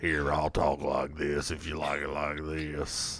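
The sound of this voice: Putting on a character voice, a man speaks fairly slowly in a raspy, very deep, low pitch.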